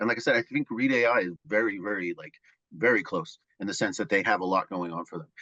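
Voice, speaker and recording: A man mumbles at a very fast pace in a fairly low, bright and sharp voice, with a dry, close sound, no echo and a quiet background. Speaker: project manager. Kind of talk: casual chat. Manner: mumbling.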